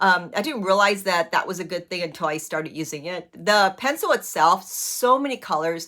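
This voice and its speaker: Lively intonation in a bright, sharp tone with hardly any pauses. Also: woman, medium pitch for a woman. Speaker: brow artist. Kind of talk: tutorial. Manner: fast.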